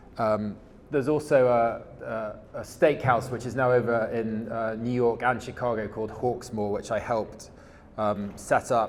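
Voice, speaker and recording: Over audible room echo, a man speaks at medium pitch with fairly even intonation and a fairly slow pace. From England. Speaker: supply chain executive in regenerative agriculture. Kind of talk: conference presentation. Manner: hesitant, many fillers and repetitions.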